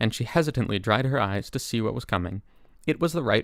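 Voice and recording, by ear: Lively intonation comes through as the words are read aloud in a natural voice.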